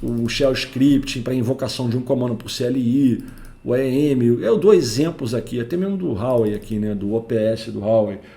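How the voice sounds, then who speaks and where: In a room with audible echo, a man speaks at a moderate pace with a medium pitch, a dark, mellow tone and ordinary pitch variation. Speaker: network engineer and tech educator. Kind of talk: technical lecture. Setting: home recording. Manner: informal.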